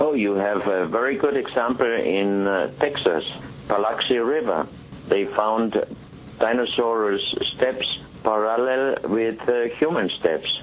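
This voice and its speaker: Noticeable background noise sits behind a man of medium pitch. He speaks at a fairly slow pace. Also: ordinary pitch variation. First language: German. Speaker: exhibition organizer and artifact collector. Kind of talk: interview. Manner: halting, with frequent fillers.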